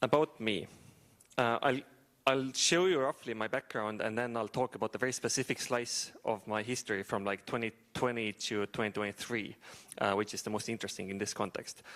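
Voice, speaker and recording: A man with an Estonian accent speaks at a fairly quick pace, medium in pitch with ordinary pitch variation. The sound is dry and close with no echo, on a very clean recording with a silent background. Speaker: startup founder and AI engineer. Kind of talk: talk to an audience.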